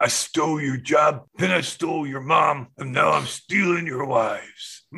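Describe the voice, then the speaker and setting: A put-on character voice, mumbling, creaky and growling. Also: man, fairly high pitch for a man, moderate pace. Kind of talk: comic overacting. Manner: smug, rambling.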